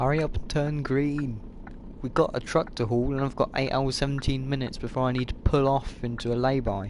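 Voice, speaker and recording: A man with a medium-pitched voice speaks quietly at a fairly quick pace with a British accent. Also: fairly even intonation. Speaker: gaming YouTuber. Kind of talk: gameplay commentary.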